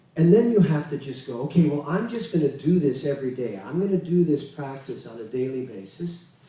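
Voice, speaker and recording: Over noticeable background noise, a man talks at a fairly quick pace with hardly any pauses, using a fairly high pitch, lively intonation and big swings in loudness. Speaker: Kundalini yoga teacher. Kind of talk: spiritual lecture.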